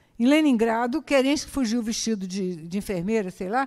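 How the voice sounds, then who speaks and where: At a moderate pace, a woman's fairly high voice rises and falls with ordinary pitch variation. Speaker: historian giving a talk. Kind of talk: lecture. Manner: halting, many fillers and repetitions.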